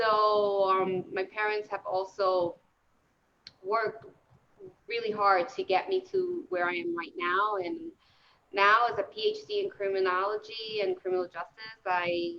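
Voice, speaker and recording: In a New Jersey accent, a woman speaks at a fairly slow pace. Her pitch is medium, with ordinary pitch variation. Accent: New Jersey American. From New Jersey, Puerto Rican family. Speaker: criminology professor. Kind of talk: panel discussion.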